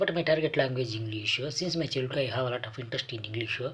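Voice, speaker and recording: His intonation is lively. The man's voice is somewhat breathy. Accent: Kannada. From South India, Andhra Pradesh. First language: Kannada. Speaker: English speaking coach and cartoonist. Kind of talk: motivational talk. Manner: halting, with frequent fillers.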